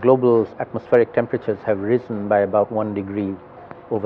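Light background noise runs under the speech. The pace is fairly quick and the intonation monotone and flat. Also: man. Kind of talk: interview answer. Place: bar.

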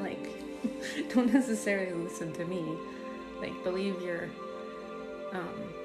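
Over clear background music, the speaker moves at a moderate pace with long, frequent pauses. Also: woman. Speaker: spiritual content creator. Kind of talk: casual vlog chat. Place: home room.

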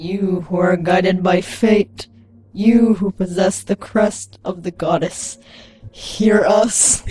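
The voice sounds female and is a put-on character voice. It moves at a very slow pace. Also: medium pitch for a woman. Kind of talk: comic overacting. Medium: game stream. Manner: mystic, hushed.

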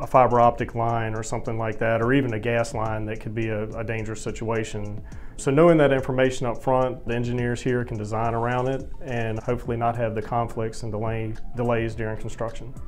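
Over faint background music, a man talks at a fairly quick pace in a monotone, flat delivery. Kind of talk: interview answer. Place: office. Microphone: lapel.

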